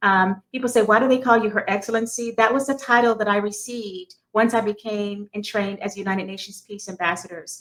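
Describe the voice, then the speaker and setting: A woman with a fairly high pitch talks at a fairly quick pace, her intonation fairly even. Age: 60s. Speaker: army veteran and peace advocate, motivational speaker. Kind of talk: radio interview. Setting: studio.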